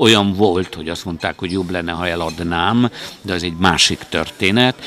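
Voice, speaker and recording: A man's very deep, low voice with a bright, sharp tone, ordinary pitch variation and a moderate pace. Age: 60s. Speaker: conference organizer, former TV journalist. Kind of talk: interview.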